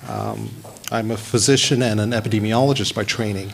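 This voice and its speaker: A man with an American accent talks at a medium pitch and moderate pace, with ordinary pitch variation. Noticeable background noise runs behind him. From US South, Alabama. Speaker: physician and epidemiologist. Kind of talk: speech at launch event.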